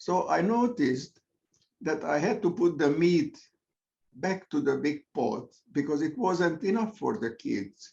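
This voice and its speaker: Speaking slowly with a Hungarian accent, a man uses a high pitch with very wide pitch swings at a fairly slow pace. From Hungary. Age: 80s+. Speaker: Zoom meditation participant. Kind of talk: casual sharing in group discussion. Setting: video call.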